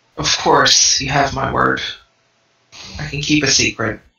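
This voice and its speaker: In a put-on character voice, a man speaks at a fairly high pitch. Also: moderate pace. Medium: actual play. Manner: blunt, distrustful.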